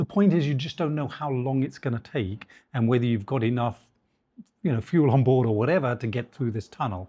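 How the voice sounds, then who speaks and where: This man has a British accent, a medium pitch and lively intonation, with a dark, mellow tone that is somewhat breathy. The background is quiet. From England. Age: 60s. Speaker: headhunter and business founder. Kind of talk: interview conversation.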